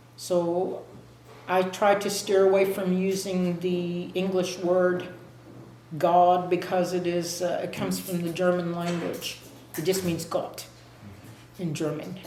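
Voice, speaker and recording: A woman's fairly low-pitched, monotone voice at a fairly slow pace, with long, frequent pauses amid noticeable background noise. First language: Muscogee (Creek). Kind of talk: interview answer.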